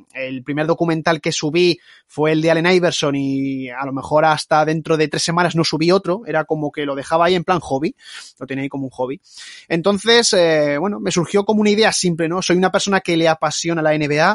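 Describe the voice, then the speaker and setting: In a dry, close recording with no echo, a man with a plain, everyday voice talks at a fairly quick pace, his fairly high pitch showing ordinary variation. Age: 20s. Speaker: YouTube basketball documentary narrator. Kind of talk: podcast interview.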